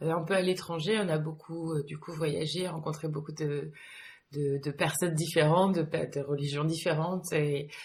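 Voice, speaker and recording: Her voice is very deep and low for a woman, somewhat breathy, and monotone with flat intonation. She speaks at a moderate pace. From France, with some childhood abroad. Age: 30s. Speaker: yoga teacher. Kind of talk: interview. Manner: hesitant, many fillers.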